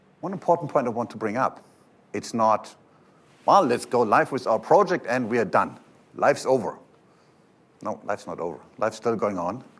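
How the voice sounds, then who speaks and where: In a German accent, a man with a medium pitch talks at a moderate pace, with lively intonation and long, frequent pauses. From Germany. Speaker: software company presenter. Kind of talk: conference talk.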